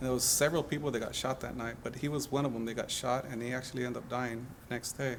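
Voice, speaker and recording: Very fast and with hardly any pauses, a man speaks at a medium pitch in a monotone, flat delivery over noticeable background noise. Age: 40s. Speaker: seminarian. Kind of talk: interview testimony.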